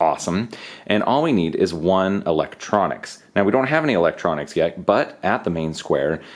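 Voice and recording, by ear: Someone reading aloud in a natural voice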